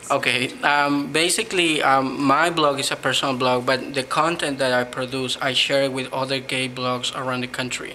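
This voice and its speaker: Over noticeable background noise, a man with a Spanish accent speaks at medium pitch in a monotone, flat way, at a moderate pace with hardly any pauses. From Peru. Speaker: blogger. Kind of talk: interview.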